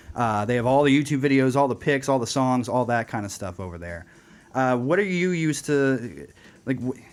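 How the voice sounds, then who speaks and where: A man at a medium pitch speaks at a fairly quick pace with lively intonation. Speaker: radio host. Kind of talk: interview. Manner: fast.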